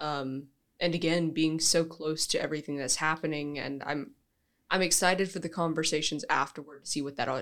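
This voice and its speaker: Speaking at a moderate pace, a woman uses an ordinary speaking voice, fairly low in pitch, with fairly even intonation. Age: young. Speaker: college student actor. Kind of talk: casual chat.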